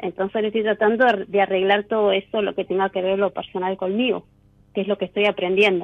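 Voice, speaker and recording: Words move at a fairly quick pace in a monotone, flat intonation. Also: woman, medium pitch for a woman. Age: 40s. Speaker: caller. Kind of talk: casual chat.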